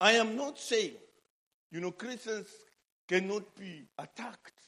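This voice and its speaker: In a Zambian accent, a man speaks at a fairly slow pace with a bright, sharp tone. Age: 60s. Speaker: preacher. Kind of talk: sermon. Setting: church.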